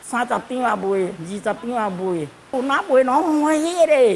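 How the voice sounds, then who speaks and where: A woman talks at a fairly slow pace with very wide pitch swings. Light background noise can be heard. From Malaysia. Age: 70s. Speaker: charity volunteer. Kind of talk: interview answer. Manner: cheerful, upbeat. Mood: cheerful, laughing. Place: home room. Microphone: handheld.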